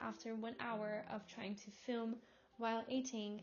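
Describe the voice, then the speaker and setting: Music plays in the background as a woman speaks at a fairly slow pace. Her pitch is fairly high, and she has a Portuguese accent. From Portugal. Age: 20s. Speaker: vlogger. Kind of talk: casual vlog talk to camera. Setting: at home, in her room. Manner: halting non-native speech.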